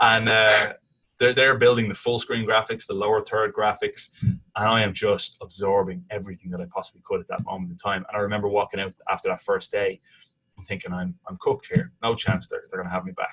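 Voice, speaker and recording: With an Irish accent, a man talks at a fairly quick pace, his loudness swinging widely. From Ireland, Dublin. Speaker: sports commentator and TV host. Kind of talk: casual interview. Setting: podcast interview. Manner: animated storytelling with frequent repetitions.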